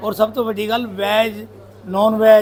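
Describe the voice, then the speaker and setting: A voice in a Punjabi accent over noticeable background noise. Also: man. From Punjab region, India (Chandigarh, born in Ambala). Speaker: dhaba owner. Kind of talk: casual interview.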